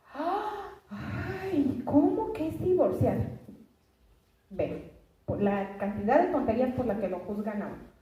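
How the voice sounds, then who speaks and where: With audible room echo, the speaker goes at a very slow pace, pausing long and often, with very wide pitch swings. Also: woman, high pitch for a woman. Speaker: preacher. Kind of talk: sermon.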